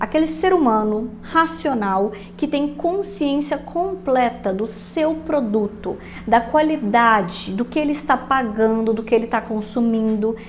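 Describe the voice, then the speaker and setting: Over noticeable background noise, a woman with a fairly high voice speaks fairly slowly in an animated tone with lively intonation. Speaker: online business coach. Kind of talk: casual podcast-style tutorial.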